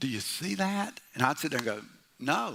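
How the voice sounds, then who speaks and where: The voice has a bright, sharp tone with vocal fry. Its pitch swings very widely. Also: man. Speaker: pastor. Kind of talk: sermon. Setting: church. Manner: loud; animated.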